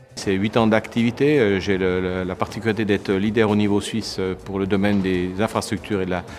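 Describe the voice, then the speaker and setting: A man's fairly low voice, fairly quick in pace, with fairly even intonation. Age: 50s. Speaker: politician. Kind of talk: campaign statement. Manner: halting, many fillers.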